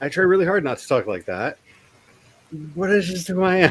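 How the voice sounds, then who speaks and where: A man's voice over noticeable background noise. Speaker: author and livestream host. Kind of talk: casual chat. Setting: livestream. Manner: fast; sarcastic.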